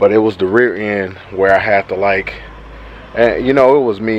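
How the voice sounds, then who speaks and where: Fairly even intonation from a man at a fairly low pitch, over noticeable background noise. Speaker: car vlogger. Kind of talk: casual vlog. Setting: outdoors then in a truck. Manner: fast.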